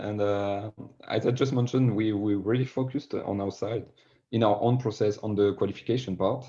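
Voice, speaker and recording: Against a quiet background, a man with a French accent talks at a moderate pace, his medium-pitched voice dark and mellow with fairly even intonation. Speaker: sales director. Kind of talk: podcast interview.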